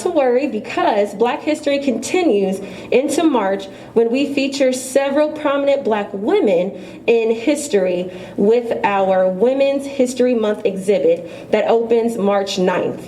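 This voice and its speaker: An upbeat tone with lively intonation at a fairly slow pace, very even in loudness, over noticeable background noise. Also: woman. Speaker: event MC / host. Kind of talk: event announcement, live MC. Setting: live venue event.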